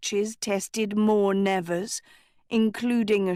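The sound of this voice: The clip features an unforced reading voice.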